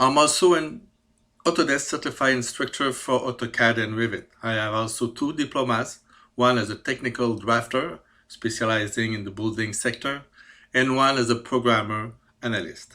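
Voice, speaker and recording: On a very clean recording with a silent background, a man with a Quebec accent speaks at a medium pitch in a bright, sharp tone, at a moderate pace with ordinary pitch variation. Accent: French Canadian accent in English. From Quebec, Canada. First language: French. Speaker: CAD programmer. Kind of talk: self-presentation. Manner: halting, many fillers.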